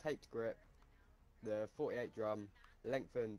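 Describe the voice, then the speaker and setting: A man's voice, fairly low in pitch. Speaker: gamer. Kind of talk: casual chat.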